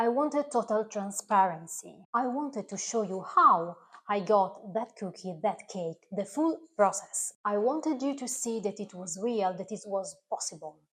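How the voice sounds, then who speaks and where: A woman with an Italian accent talks fairly slowly at a medium pitch, with lively intonation. She leaves hardly any pauses. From Italy. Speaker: recipe video creator. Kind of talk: direct-to-camera talk. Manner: slightly halting, non-native.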